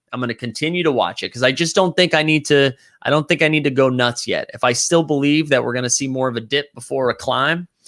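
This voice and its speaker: A man with a Boston accent speaks at a very fast pace with hardly any pauses, his pitch fairly high and its variation ordinary. His tone is animated, and the sound is dry and close with no echo. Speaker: livestream host, NBA Top Shot collector. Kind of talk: casual livestream talk reading chat comments.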